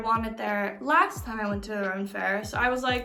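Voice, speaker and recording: Amid noticeable background noise, a woman talks at a moderate pace with a fairly high pitch and ordinary pitch variation. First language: not English. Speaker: book vlogger. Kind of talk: casual book haul vlog. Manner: halting, stumbles over words.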